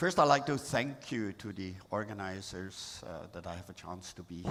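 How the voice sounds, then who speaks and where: A man with a very deep, low voice and a Swiss German accent speaks at a moderate pace with lively intonation. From Switzerland. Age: 70s. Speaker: artist and photographer. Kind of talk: talk to an audience. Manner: halting.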